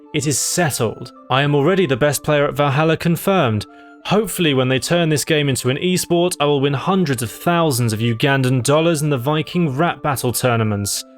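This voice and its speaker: Music plays in the background as a man speaks at a fairly quick pace in a fairly high voice. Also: ordinary pitch variation, very even loudness. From British. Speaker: gaming YouTuber. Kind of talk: comedic gameplay narration. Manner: sarcastic, dry.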